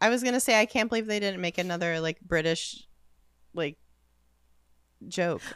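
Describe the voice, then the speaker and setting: Pausing long and often, a woman speaks at a moderate pace and medium pitch with ordinary pitch variation. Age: 30s. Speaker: podcast co-host. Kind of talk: casual chat.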